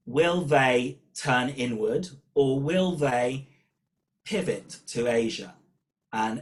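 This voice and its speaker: This man has a British accent and a medium pitch. His intonation is lively. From Britain. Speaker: professor of political studies. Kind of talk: webinar talk.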